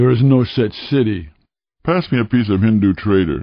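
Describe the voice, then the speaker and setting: A man's put-on character voice at medium pitch. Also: moderate pace. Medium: read story.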